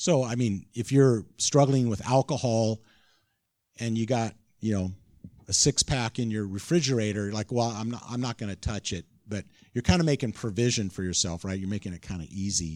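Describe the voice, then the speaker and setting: In an ordinary speaking voice, a man at medium pitch talks with ordinary pitch variation on a very clean recording with a silent background. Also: moderate pace. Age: 60s. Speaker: pastor. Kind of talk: sermon.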